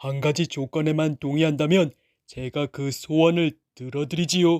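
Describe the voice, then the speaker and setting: Using a put-on character voice, a man sounds resonant on a very clean recording with a silent background. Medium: read story. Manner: calm, formal, unbothered.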